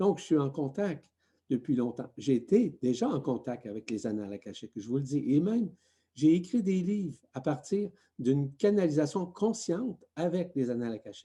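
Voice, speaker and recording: Speaking at a moderate pace over a quiet background, a man uses a dark, mellow tone at a fairly high pitch with very wide pitch swings. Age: 60s. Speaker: spiritual teacher. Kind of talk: spiritual talk.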